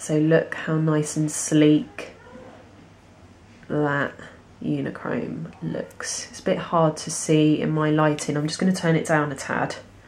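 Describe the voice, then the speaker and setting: Over noticeable background noise, a woman speaks at a fairly slow pace in a very deep, low pitch with fairly even intonation. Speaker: nail technician. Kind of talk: tutorial talk to camera. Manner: casual, hesitant with fillers.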